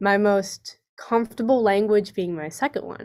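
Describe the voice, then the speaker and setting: A woman talks in a West Coast US accent. Her pace is fairly slow, and her intonation fairly even. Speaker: student panelist. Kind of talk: online panel discussion. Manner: expressive, varied tone.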